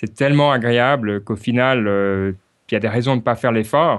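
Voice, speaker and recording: Speaking with a Swiss accent, a man holds a medium pitch and fairly even intonation. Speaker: podcaster and software worker. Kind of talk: interview. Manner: hesitant, many fillers.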